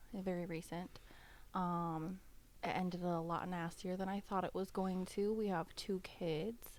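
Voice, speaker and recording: A woman's medium-pitched voice, fairly slow, monotone and flat, with very even loudness. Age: 30s. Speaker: podcast guest, single mother. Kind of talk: casual chat.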